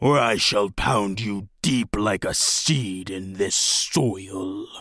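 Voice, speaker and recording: A man puts on a raspy, growling, guttural character voice with a fairly low pitch. He speaks at a very slow pace in a menacing tone. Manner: menacing, growling.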